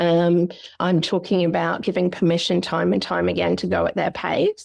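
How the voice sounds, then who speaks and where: Against a quiet background, a woman with an Australian accent speaks at a fairly quick pace. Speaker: psychologist. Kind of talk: podcast interview. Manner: fast; animated.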